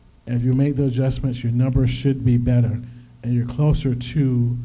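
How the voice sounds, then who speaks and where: In a room with audible echo, a man's medium-pitched voice sounds somewhat breathy, dark and mellow, delivered in a flat monotone. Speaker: financial workshop presenter. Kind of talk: workshop presentation.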